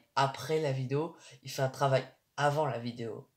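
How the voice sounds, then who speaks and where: At a fairly slow pace, a man speaks in a somewhat breathy, medium-pitched voice with ordinary pitch variation. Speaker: YouTuber. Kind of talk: casual monologue. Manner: halting.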